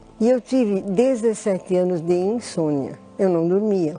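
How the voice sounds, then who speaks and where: A woman's voice at a medium pitch. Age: 60s. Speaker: church member giving testimony. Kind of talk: testimony. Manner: halting.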